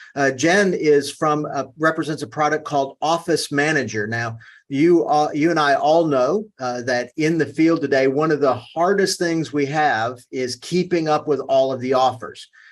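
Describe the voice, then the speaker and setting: With a Southern US accent, this speaker keeps a moderate pace with hardly any pauses and ordinary pitch variation against a quiet background. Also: man, fairly high pitch for a man. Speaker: webinar host. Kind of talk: webinar presentation. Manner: halting, many fillers.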